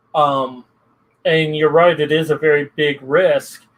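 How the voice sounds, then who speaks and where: At a fairly slow pace comes an unremarkable speaking voice. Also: man. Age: 40s. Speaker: podcast guest. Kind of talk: casual chat.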